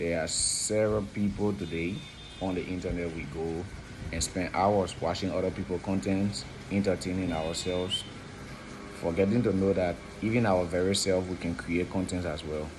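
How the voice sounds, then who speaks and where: A man's very deep, low voice at a moderate pace, with fairly even intonation, long and frequent pauses, audible room echo and noticeable background noise. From Liberia. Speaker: consultant and video presenter. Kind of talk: informal educational talk.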